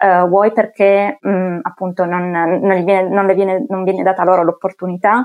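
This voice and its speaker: A woman talks at a fairly slow pace in a medium pitch. Her intonation stays fairly even. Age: 20s. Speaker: IT consultant, engineer. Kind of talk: casual chat. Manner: hesitant, many fillers.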